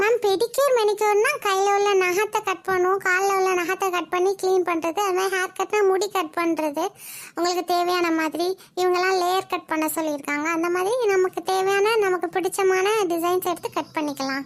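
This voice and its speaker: A woman does a cartoonish character voice at an extremely high pitch, keeping fairly even intonation, very even loudness, and a moderate pace in a very clean recording over a silent background. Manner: polite, salesy, Tanglish.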